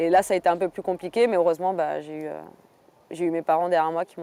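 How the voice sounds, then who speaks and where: Her fairly low voice has a dark, mellow tone, and this woman keeps her intonation fairly even. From southern France. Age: 30s. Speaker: MMA fighter. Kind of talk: documentary interview. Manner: hesitant, many fillers.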